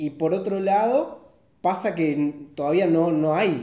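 Speaking at a very slow pace in a Rioplatense accent, a man is heard with audible room echo. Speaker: director of photography. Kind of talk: casual chat.

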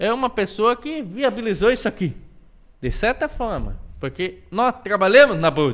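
A man's high-pitched voice, with lively intonation at a moderate pace. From Curitiba, Brazil. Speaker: podcast host. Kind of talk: casual chat. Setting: studio.

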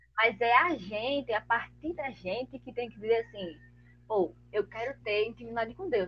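With lively intonation, a woman speaks at a moderate pace in a fairly high voice. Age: 20s. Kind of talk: casual chat. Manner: animated.

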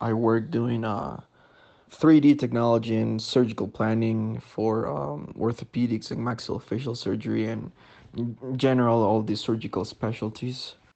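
A man with a Spanish accent at a medium pitch. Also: ordinary pitch variation, moderate pace. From Ecuador, Sangolquí. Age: 20s. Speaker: biomedical engineer. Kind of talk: interview answers.

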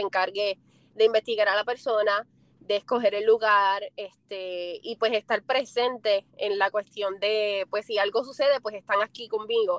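A woman's fairly high voice with a slight Puerto Rican accent at a fairly slow pace, in a dry, close sound with no echo. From Puerto Rico. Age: 20s. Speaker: foot content creator. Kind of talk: interview. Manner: smiling while speaking.

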